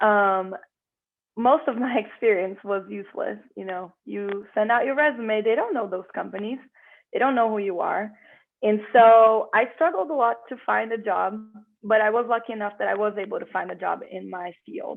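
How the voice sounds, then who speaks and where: A woman with a Portuguese accent, at a moderate pace, with ordinary pitch variation and big swings in loudness. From Brazil. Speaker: career changer into tech, meetup speaker. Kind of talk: personal career story talk.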